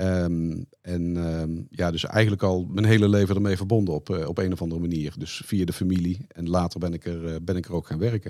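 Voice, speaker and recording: In a Brabant accent, a man speaks at a very deep, low pitch in a dark, mellow tone. He goes at a fairly quick pace with hardly any pauses and fairly even intonation. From Netherlands, Brabant. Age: 50s. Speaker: company finance director. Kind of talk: interview.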